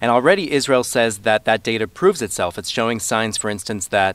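A man's medium-pitched voice, a normal speaking voice with ordinary pitch variation. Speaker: foreign correspondent. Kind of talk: news report conversation.

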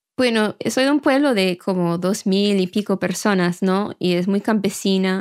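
In an English accent, a woman speaks at a fairly slow pace with hardly any pauses, ordinary pitch variation and very even loudness. The recording is very clean with a silent background. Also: medium pitch for a woman, dry, close sound with no echo. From rural Maine, US. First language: English (speaking Spanish). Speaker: journalist. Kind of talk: interview.

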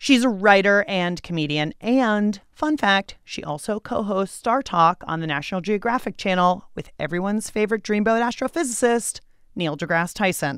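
With an unremarkable speaking voice, a woman talks at a moderate pace and a medium pitch with lively intonation, recorded very cleanly against a silent background. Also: hardly any pauses. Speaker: podcast host. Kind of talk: casual chat.

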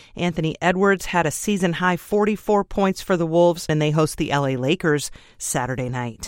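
With an unremarkable speaking voice, a woman speaks at a fairly low pitch. She keeps a moderate pace and lively intonation. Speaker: radio news host. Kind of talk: news reading, scripted radio newscast. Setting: studio. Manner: brisk, polished, even-toned delivery; formal, steady pace.

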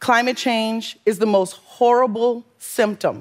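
Recorded very cleanly with a silent background, a woman with a Southern Louisiana accent and a fairly high pitch speaks at a fairly slow pace. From US South, Louisiana bayou north of New Orleans. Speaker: environmental justice advocate. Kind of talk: interview and talk excerpts.

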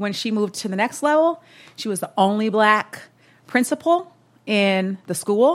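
Over a silent background on a very clean recording, a woman uses a normal speaking voice with lively intonation at a moderate pace. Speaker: corporate executive. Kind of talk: live panel conversation. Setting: coffee shop with live audience.

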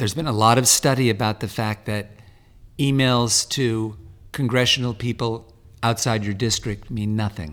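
A man's normal speaking voice, medium in pitch, at a moderate pace with fairly even intonation. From California, San Fernando Valley. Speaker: talent manager and ocean charity board president. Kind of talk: interview.

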